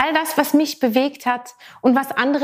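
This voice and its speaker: Delivered at a moderate tempo, the voice carries an animated tone. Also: woman. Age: 40s. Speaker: podcast host. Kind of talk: solo podcast monologue.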